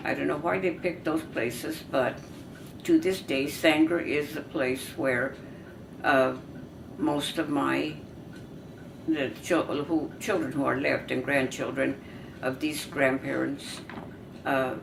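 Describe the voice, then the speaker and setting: A woman with an American accent talks very slowly, with long, frequent pauses. Noticeable background noise and audible room echo fill the recording. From US West, California Central Valley. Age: 90s. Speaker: family elder telling her life story. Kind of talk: oral history. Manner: halting.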